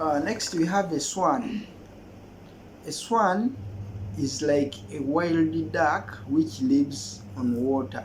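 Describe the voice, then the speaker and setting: A man's fairly high voice with a Ugandan accent at a very slow pace, with very wide pitch swings and long, frequent pauses, amid noticeable background noise and audible room echo. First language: Luganda. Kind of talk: casual language exchange tutorial.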